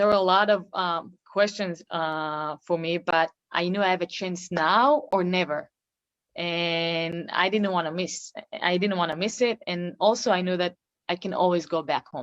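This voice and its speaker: A woman with an Israeli accent, fairly low in pitch, at a fairly slow pace with ordinary pitch variation. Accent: Israeli (Hebrew-accented English). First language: Hebrew. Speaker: professional basketball player. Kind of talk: interview. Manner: halting.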